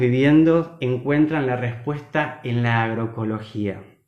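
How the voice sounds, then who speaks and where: A man talks with ordinary pitch variation. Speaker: agronomist and food producer. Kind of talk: online talk.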